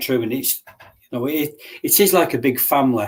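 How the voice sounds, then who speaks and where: A fairly quick delivery with an English accent. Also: man. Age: 60s. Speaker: martial artist and bodyguard. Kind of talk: casual interview chat.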